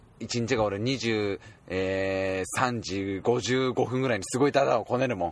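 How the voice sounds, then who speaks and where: Fairly slow speech from a medium-pitched man, with ordinary pitch variation and noticeable background noise. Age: 20s. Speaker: podcast guest. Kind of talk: casual chat.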